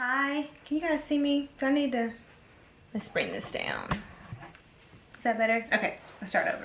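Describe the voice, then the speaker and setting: Over noticeable background noise, a woman with a high pitch and ordinary pitch variation talks at a moderate pace, leaving long, frequent pauses. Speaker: beauty vlogger. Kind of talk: tutorial.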